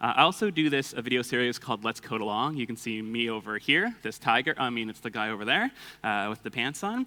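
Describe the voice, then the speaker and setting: A loud, bright and sharp voice with a Canadian accent speaks at a very fast pace with ordinary pitch variation, recorded very cleanly against a silent background. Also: man, medium pitch for a man. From Canada, Toronto. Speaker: conference speaker, developer and coding instructor. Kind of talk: conference talk. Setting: stage with audience. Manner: casual with many filler words.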